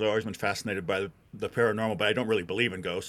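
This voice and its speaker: In an American accent, a man talks at a fairly low pitch. The background is silent and the recording very clean. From Wisconsin. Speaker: author. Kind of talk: interview.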